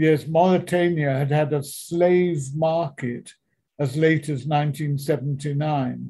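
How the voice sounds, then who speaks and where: In a fairly high, somewhat breathy voice with a dark, mellow tone, a man speaks with fairly even intonation. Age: 80s+. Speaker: veteran author, speaker and missionary. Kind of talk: interview answer, telling stories.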